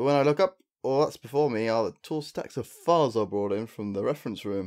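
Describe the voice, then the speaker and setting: Using an ordinary speaking voice, a man talks at a fairly quick pace with lively intonation on a very clean recording with a silent background. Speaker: let's play commentator. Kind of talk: reading game story text aloud.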